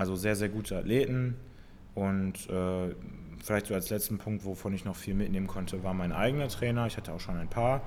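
Ordinary pitch variation runs through an unremarkable speaking voice that moves fairly quickly. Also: man, fairly low pitch for a man. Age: 20s. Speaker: fitness podcast co-host, CrossFit coach. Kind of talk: casual chat.

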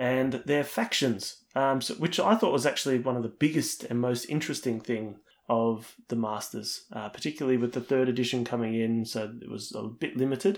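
A man with an Australian accent at medium pitch and ordinary pitch variation, moderate in pace with hardly any pauses, in a very clean recording with a silent background. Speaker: podcast co-host. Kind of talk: casual chat.

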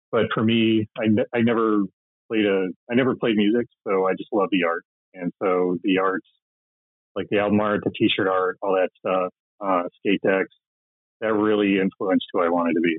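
A man with an American accent speaks at a moderate pace in a fairly low pitch, with fairly even intonation and long, frequent pauses. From US Midwest. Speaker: rock poster artist and tattoo artist. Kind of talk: interview.

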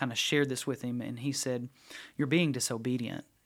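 A man with an East Tennessee accent speaks at a medium pitch in a monotone, flat intonation. The recording is very clean, with a silent background. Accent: East Tennessee Southern US. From East Tennessee (Knoxville area). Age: 40s. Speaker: youth ministry staff. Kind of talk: casual interview chat. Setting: studio.

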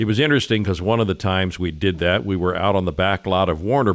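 A man with a very deep, low pitch talks at a very fast pace with an American accent. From Kansas City, Missouri, US Midwest. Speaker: radio and TV broadcaster. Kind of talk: casual chat. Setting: studio.

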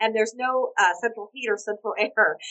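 A woman speaks at a moderate pace with ordinary pitch variation. Her fairly high voice has a bright, sharp tone.

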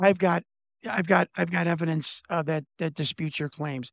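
In a Chicago accent, a man talks at a moderate pace with ordinary pitch variation, in a very clean, dry, close recording with a silent background and no echo. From Chicago, US Midwest. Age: 50s. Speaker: former pro wrestler and political candidate. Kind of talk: interview.

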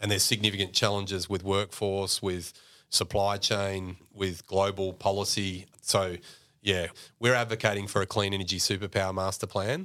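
In an Australian accent, a man with a fairly low pitch and a bright, sharp tone talks at a moderate pace in a monotone, flat way, on a very clean recording with a silent background. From Mildura, regional Victoria, Australia. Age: 40s. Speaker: clean energy policy executive and former deputy mayor. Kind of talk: casual interview.

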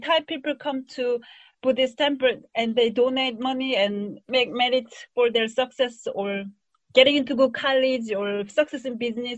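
A woman's high voice with a Korean accent, ordinary pitch variation and a moderate pace. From South Korea. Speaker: tourism scholar. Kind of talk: academic interview.

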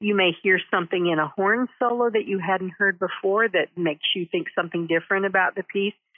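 A woman with an ordinary speaking voice talks at medium pitch with ordinary pitch variation. She hardly pauses, and her loudness stays very even. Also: fairly quick pace. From Texas (Denton). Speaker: concertmaster violinist. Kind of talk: interview.

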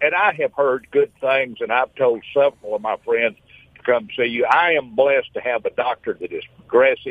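His accent is Southern US. The man keeps a moderate pace. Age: 70s. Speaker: radio caller. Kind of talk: phone-in testimony. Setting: phone call. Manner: animated.

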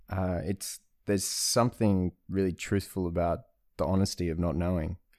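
Very deep and low, a man's dark, mellow voice comes through in an Australian accent. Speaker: Zen practitioner and traveller. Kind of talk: casual chat. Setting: at home.

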